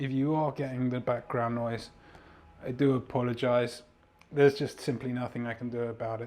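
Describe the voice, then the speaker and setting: At a moderate pace, a man speaks at a medium pitch. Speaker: podcast host and mindset coach. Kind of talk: solo podcast monologue. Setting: home studio. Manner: loud; energetic.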